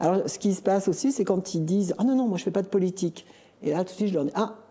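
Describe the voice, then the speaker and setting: Her voice is somewhat breathy with a dark, mellow tone and a medium pitch. The woman talks very fast, with ordinary pitch variation. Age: 60s. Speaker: local election candidate. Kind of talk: talk show discussion.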